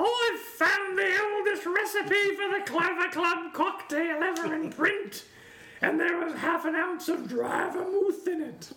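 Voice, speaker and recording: An extremely high-pitched, put-on character voice delivers the lines at a fairly slow pace. Clear background noise sits behind it. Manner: funny, exaggerated.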